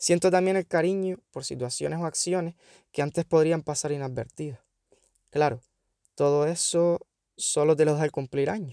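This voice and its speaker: With long, frequent pauses, a man speaks in a dark, mellow tone and fairly even intonation, the sound dry and close with no echo. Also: fairly high pitch for a man, moderate pace, very clean recording, silent background. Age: 30s. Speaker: podcaster and schoolteacher. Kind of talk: personal monologue.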